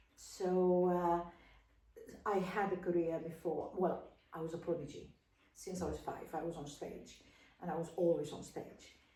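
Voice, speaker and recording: In a room with audible echo, a woman with a dark, mellow tone and fairly low pitch speaks in a monotone, flat intonation at a moderate pace, with long, frequent pauses. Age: 70s. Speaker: opera singer and voice teacher. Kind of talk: casual interview. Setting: home.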